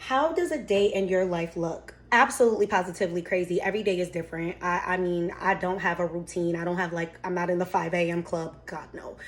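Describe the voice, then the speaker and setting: A woman talks at a fairly quick pace with a medium pitch. Her intonation stays fairly even over noticeable background noise. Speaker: lifestyle vlogger. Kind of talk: casual baking vlog and Q&A. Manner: casual, chatty.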